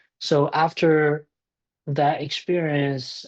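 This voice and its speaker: Against a quiet background, a man's dry, close voice with no echo holds a flat monotone. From China. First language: Chinese. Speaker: tech startup founder. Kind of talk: podcast interview.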